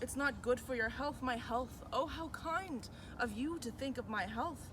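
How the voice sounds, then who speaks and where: Amid noticeable background noise, a woman speaks at a fairly slow pace in a high pitch with ordinary pitch variation. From Mi'kmaq, New Brunswick, Canada. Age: 20s. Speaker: university student. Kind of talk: spoken word poetry performance.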